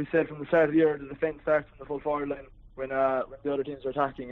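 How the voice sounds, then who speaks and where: With a Cork accent, a man talks very fast in a fairly high, monotone, flat voice. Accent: Cork Irish. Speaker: club captain.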